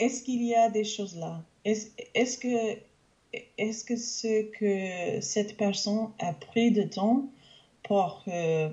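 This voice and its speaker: Speaking at a very slow pace, a woman with a fairly high voice leaves long, frequent pauses. Her loudness swings widely, and her pitch varies in an ordinary way. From Canada. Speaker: English teacher and language learner. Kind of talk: interview. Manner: halting, many hesitations.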